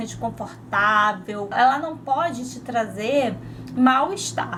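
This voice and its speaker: A woman's voice carries audible room echo. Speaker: fashion and lifestyle YouTuber. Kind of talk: casual vlog talk to camera. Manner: conversational, filler-heavy.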